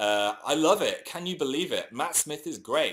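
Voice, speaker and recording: With an English accent, a man talks at a moderate pace in a fairly high pitch, his voice showing vocal fry. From England. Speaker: YouTuber. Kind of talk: casual chat. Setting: livestream.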